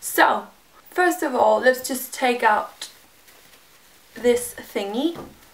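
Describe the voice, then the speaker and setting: Noticeable background noise accompanies a woman whose voice sits fairly high. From Denmark. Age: 20s. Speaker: hair vlogger. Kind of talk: casual talk to camera.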